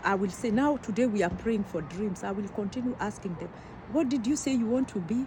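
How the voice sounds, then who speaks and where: A woman speaks at a fairly quick pace with a Kenyan accent. Her voice is fairly high in pitch, with ordinary pitch variation. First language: Kikuyu. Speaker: teacher and community health doctor. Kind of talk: interview.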